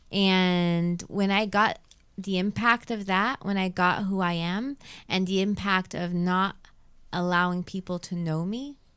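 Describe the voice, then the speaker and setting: At a fairly slow pace, a woman speaks with fairly even intonation in a very clean recording with a silent background. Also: medium pitch for a woman. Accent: Arabic. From Quebec, Montreal (Saint Laurent). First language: Arabic. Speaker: radio host and yoga teacher, author. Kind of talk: casual interview chat.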